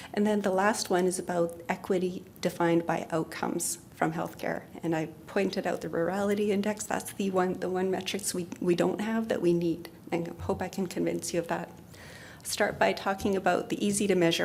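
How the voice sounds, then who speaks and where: A soft-spoken voice with vocal fry and a fairly even intonation. It moves at a fairly quick pace, with audible room echo. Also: woman, medium pitch for a woman. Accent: Canadian. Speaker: health researcher. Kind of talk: conference presentation.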